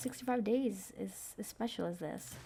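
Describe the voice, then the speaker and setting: A woman speaks quietly with vocal fry. Her tone is dark and mellow. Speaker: gaming youtuber. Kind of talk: casual gameplay commentary. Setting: bedroom at night. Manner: hesitant, many fillers.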